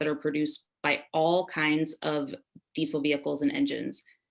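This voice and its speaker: A woman speaks over a quiet background. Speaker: policy advocate presenting legislation. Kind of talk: webinar presentation. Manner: fast.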